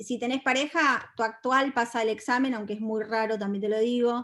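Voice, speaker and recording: A woman speaks with a Rioplatense accent at a high pitch. The recording is very clean, with a silent background. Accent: Argentine Spanish (rioplatense, voseo). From Argentina. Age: 40s. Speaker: feminist speaker and content creator. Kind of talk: talk to an audience. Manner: animated.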